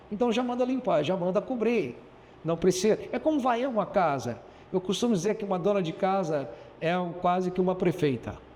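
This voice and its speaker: Over noticeable background noise, a man talks at a moderate pace in a high voice with lively intonation. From Goiás, central Brazil. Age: 60s. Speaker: businessman and mayoral candidate. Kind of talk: interview.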